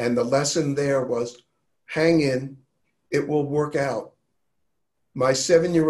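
A man with an American accent, fairly high in pitch, flat and monotone, at a fairly slow pace. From New York. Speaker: health and wellness advocate. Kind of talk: casual chat.

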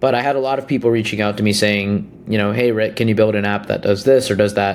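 Here a man speaks in an unremarkable speaking voice, fairly low in pitch with fairly even intonation. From India, raised in US. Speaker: startup founder. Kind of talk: interview.

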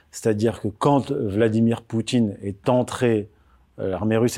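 This man's voice has a dark, mellow tone and sits fairly low. The recording is very clean, with a silent background. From France, raised from age 4 after birth in Morocco. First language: Berber (Amazigh) (speaking French). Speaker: author and political commentator. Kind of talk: interview. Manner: hesitant, many fillers and repetitions.

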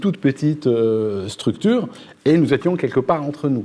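Using lively intonation, a man with a fairly high pitch speaks in a plain, everyday voice. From Algeria. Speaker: political youtuber. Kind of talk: panel debate.

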